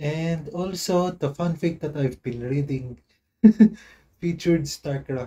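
A man's fairly high voice with a dark, mellow tone, somewhat breathy, at a fairly slow pace with fairly even intonation. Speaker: gaming video commentator. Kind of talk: casual gameplay commentary.

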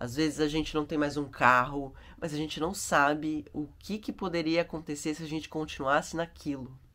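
Her pitch is very deep and low as this woman talks at a moderate pace. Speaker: travel vlogger. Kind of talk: vlog reflection monologue. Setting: yoga and holistic therapy house. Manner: casual and chatty; speaking quietly.

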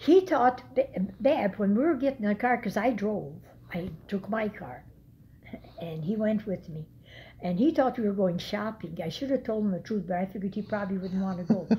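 Somewhat breathy and dark, mellow in tone, a woman speaks at a fairly quick pace with light background noise. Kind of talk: casual storytelling to a relative. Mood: reflective, somber memories. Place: home room. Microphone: phone near.

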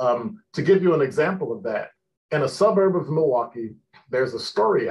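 With an American accent, a man speaks at a moderate pace. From Chicago. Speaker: retired police officer, professor and radio host. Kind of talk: interview. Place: office. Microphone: webcam.

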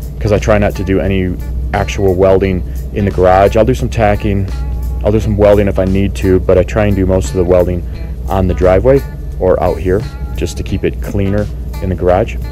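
Man with a very deep, low pitch at a fairly quick pace, in a dry sound with no echo and clear music in the background. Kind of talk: casual tour narration. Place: garden. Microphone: phone near.

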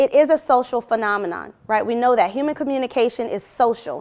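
A woman speaks at a fairly quick pace in a high voice. Her intonation is lively. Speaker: university lecturer. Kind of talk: academic presentation. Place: classroom.

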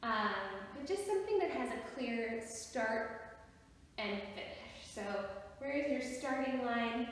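In strong room echo, a woman speaks at a fairly slow pace. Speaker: drama or movement instructor. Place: empty room. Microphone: camera far.

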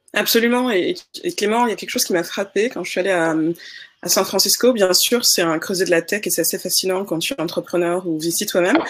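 A woman talks at a very fast pace. Her pitch varies in an ordinary way. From Senegal. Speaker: investor and entrepreneur; panelist. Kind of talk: panel discussion. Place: home room.

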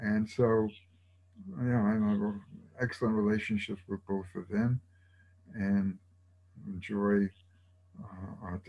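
A man with an American accent speaks in a fairly low pitch and a dark, mellow tone. His intonation is fairly even, with long, frequent pauses. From New York. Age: 80s+. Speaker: retired educator and university program founder; retired educator. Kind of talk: oral history interview. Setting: video call. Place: home room. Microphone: video call.

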